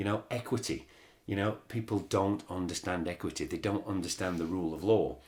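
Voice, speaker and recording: On a very clean recording with a silent background, a man with a very deep, low pitch and vocal fry talks at a fairly quick pace. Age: 60s. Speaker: podcast host. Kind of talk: casual chat. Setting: studio.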